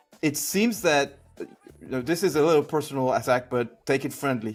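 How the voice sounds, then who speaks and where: A man with a fairly high pitch speaks with a non-native accent. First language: not English. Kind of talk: heated debate.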